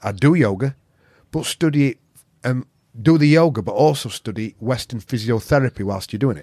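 The speaker has a Yorkshire accent and a moderate pace with ordinary pitch variation. The sound is dry and close, with no echo. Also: man. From Yorkshire, northern England. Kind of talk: casual chat.

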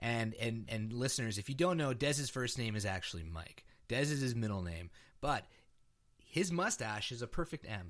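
A man with a normal speaking voice talks at a medium pitch and moderate pace with lively intonation, captured in a very clean recording with a silent background. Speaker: podcast co-host. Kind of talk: casual banter about wrestling.

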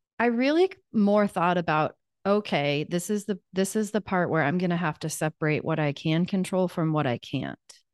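In a US Midwestern accent, a woman with a fairly low pitch speaks with lively intonation against a quiet background, the sound dry and close with no echo. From Kansas, US Midwest. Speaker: life coach. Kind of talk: interview testimony.

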